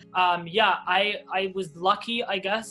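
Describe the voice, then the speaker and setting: With a Canadian accent, the speaker talks in a fairly even intonation while music plays in the background. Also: man. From Toronto, Canada. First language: Hebrew. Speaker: airline pilot. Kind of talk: interview.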